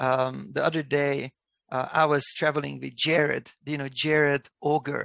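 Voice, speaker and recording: A man with a Hungarian accent at a moderate pace, recorded dry and close with no echo. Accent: non-native English, Hungarian. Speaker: company executive. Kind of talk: video call interview. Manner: thoughtful, pauses before answering.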